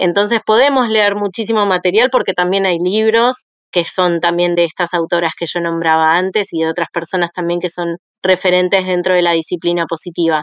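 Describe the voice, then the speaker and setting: Against a quiet background, a woman with a fairly low pitch and an unremarkable speaking voice talks at a fairly quick pace with fairly even intonation, the sound dry and close with no echo. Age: 40s. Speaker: school principal and early-education teacher. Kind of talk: interview.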